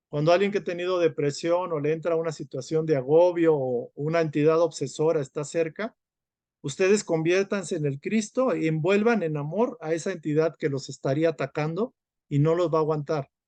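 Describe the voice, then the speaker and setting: A man speaks at a moderate pace with a fairly high pitch and ordinary pitch variation. His tone is dark and mellow, in a dry, close sound with no echo. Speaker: spiritual study group teacher. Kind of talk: lecture.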